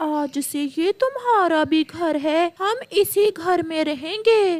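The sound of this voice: Using a cartoonish character voice, a woman speaks at a fairly slow pace in an extremely high pitch.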